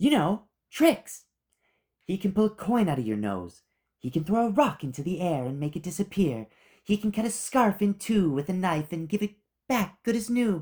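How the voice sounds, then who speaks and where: A put-on character voice at middle pitch and moderate pace. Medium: read story. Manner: blunt, intense.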